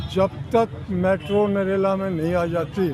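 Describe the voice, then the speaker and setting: Noticeable background noise sits behind a man's high-pitched voice. His intonation is fairly even. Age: 80s+. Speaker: campaign coordinator, protester. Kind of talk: street interview.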